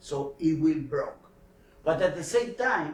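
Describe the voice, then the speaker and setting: A man with a non-native accent and high pitch, at a very slow pace with ordinary pitch variation, amid audible room echo. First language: not English. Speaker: scientist presenting research. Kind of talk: technical workshop lecture. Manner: halting, many hesitations and repeats.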